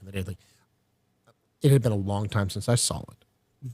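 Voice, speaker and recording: A man talks with an American accent and a somewhat breathy quality. The sound is dry and close, with no echo. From Texas. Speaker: podcast guest. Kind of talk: casual chat. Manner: animated.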